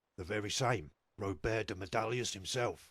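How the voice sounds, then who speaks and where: Putting on a character voice, a man speaks at a moderate pace in a raspy, fairly low tone. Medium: video game. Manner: measured, authoritative.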